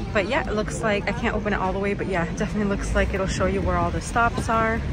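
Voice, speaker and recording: A woman speaks over crowd noise in the background. The sound is dry, with no echo. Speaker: travel vlogger. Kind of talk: casual vlog chat. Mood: cheerful, upbeat. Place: bus. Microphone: phone near.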